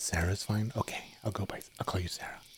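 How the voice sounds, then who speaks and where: A man's whisper at a moderate pace. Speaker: streamer. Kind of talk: softspoken ASMR chat stream. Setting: streaming from home bedroom. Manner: soft-spoken; quiet.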